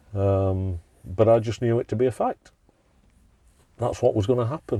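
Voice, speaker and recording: The tone is dark and mellow, and somewhat breathy. The intonation is lively. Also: man. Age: 60s. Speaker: recovering alcoholic. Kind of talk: interview answer. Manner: emotional.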